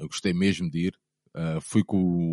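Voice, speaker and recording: Against a quiet background, a man speaks fairly slowly in a very deep, low voice with a dark, mellow tone and a dry, close sound with no echo. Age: 30s. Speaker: football fan, former ultras group leader. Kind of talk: casual interview chat.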